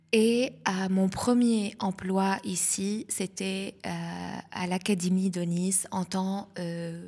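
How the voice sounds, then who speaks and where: A woman speaks in a medium-pitched voice. The recording is very clean, with a silent background. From southern Lebanon. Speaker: communication and marketing specialist, festival founder. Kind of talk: interview.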